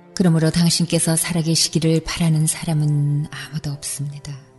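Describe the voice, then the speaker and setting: A calm, soothing tone over music in the background. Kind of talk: prayer reading / devotional meditation narration. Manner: calm, soothing, soft-spoken.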